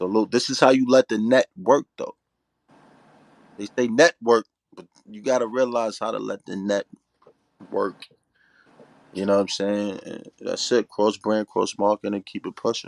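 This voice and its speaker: In a New York accent, a man speaks at a moderate pace with ordinary pitch variation, big swings in loudness, and long, frequent pauses. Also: medium pitch for a man, dry, close sound with no echo. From Staten Island, New York. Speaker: battle rapper. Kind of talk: interview chat.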